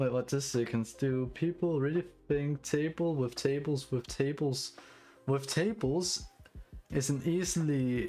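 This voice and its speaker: A man with a Danish accent talks at a fairly slow pace in a fairly high pitch. His loudness stays very even, with ordinary pitch variation. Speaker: streamer and hobby OS developer. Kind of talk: live stream chat while coding. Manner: halting, many fillers and restarts.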